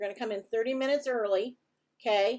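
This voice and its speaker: A woman with a plain, everyday voice and fairly high pitch uses ordinary pitch variation on a very clean recording with a silent background. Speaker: competition presenter. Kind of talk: orientation briefing.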